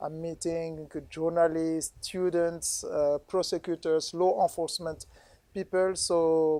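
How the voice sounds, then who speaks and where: The speaker talks at a very slow pace with a strong non-native accent. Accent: strong Francophone. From DR Congo. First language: French. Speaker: international court official. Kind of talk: ceremony speech. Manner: halting.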